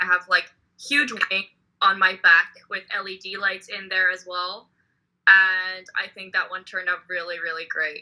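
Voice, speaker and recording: Fairly slow delivery from a woman at medium pitch with a bright, sharp tone. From Netherlands. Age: 20s. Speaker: cosplayer. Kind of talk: casual chat.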